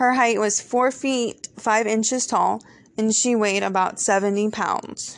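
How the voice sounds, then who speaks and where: A woman with an ordinary speaking voice talks at a fairly high pitch and a fairly slow pace, her intonation fairly even and her loudness very even. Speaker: true crime podcast host. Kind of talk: scripted true-crime podcast narration, read as a steady, storytelling case summary. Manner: measured, earnest and conversational, with a serious storyteller's pacing; warm and friendly in intro and outro, thanking listeners.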